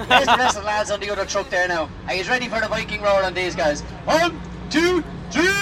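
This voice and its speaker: Over crowd noise in the background, a speaker with a Dublin accent talks at a very fast pace. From Ireland, north side of Dublin. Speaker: tour guide. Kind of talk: guided tour commentary. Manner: animated.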